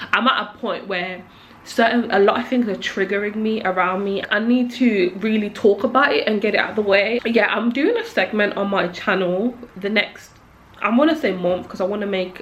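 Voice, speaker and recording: A woman speaks at a moderate pace and medium pitch over noticeable background noise. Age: 20s. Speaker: YouTuber. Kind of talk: personal vlog monologue. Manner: casual, filler-heavy.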